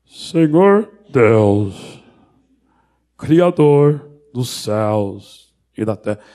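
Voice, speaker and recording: Putting on a character voice, a man speaks in a solemn tone at medium pitch and a very slow pace, with long, frequent pauses. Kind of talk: solemn, pious. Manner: put-on, solemn.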